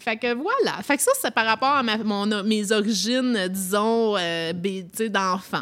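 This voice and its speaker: Amid noticeable background noise, a woman speaks at a very slow pace and fairly high pitch with ordinary pitch variation. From Toronto, Canada. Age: 40s. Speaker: podcast host. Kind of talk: casual chat.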